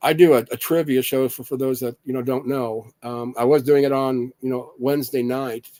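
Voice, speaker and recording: A man's medium-pitched voice with an American accent, dark and mellow in tone, flat and monotone, at a moderate pace with hardly any pauses. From Indiana, US Midwest. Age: 50s. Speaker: patient sharing illness experience. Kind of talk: casual monologue. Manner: halting.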